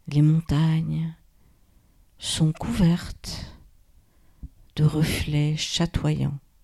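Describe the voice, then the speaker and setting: A woman speaks very slowly in a very deep, low, dark and mellow voice, somewhat breathy and soothing, calm in tone. Her intonation is flat and monotone, with long, frequent pauses. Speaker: yoga nidra guide. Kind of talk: guided meditation. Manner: slow, soothing, calm, with long pauses; soft, gentle, hushed.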